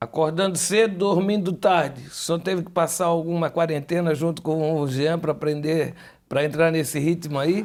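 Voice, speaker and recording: High-pitched male speech, moderately paced, with fairly even intonation. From Brazil, Florianópolis (Santa Catarina). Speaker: TV host. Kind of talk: TV interview. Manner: casual, joking.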